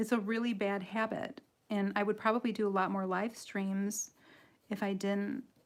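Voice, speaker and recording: A woman with an American accent, medium pitch and fairly even intonation, at a fairly slow pace, on a very clean recording with a silent background. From Michigan, US Midwest. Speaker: coloring artist and tutorial livestreamer. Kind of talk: live tutorial with chat. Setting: home livestream. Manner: giggly, laughs often.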